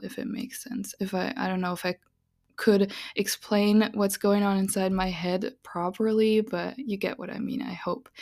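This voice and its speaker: A woman speaks with a non-native accent at a fairly slow pace. Her pitch is medium and her intonation fairly even. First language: not English. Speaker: podcast host, witch and tarot reader. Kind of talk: solo podcast monologue. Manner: casual and rambling with frequent laughs.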